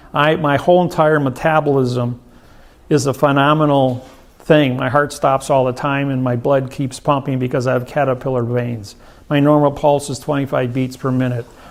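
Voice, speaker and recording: The man's pitch is fairly high and his intonation monotone and flat. He speaks at a moderate pace. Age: 60s. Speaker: seminar speaker. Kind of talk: seminar Q&A.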